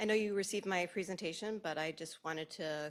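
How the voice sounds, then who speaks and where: A woman is talking. Her pace is very fast. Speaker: school athletic director. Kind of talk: presentation at board meeting.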